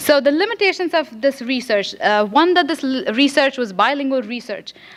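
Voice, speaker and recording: At a fairly quick pace, a woman speaks with a Marathi accent. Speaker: graduate student researcher. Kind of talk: conference presentation. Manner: fast; halting, many fillers.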